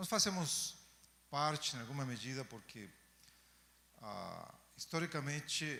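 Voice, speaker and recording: A man with a Chilean accent speaks at a medium pitch in a bright, sharp tone. He goes at a fairly slow pace, with audible room echo. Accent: Chilean accent in Portuguese, noticeable. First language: Spanish (speaking Portuguese). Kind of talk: lecture. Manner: hesitant fillers.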